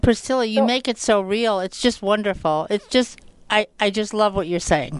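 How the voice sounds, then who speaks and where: Using an ordinary speaking voice, a woman at a fairly high pitch talks at a moderate pace with ordinary pitch variation. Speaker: radio host. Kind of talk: radio show introduction.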